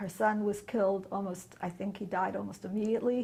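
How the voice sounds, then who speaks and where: A woman speaks at a fairly quick pace in a medium pitch, with vocal fry. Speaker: Holocaust survivor. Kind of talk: testimony.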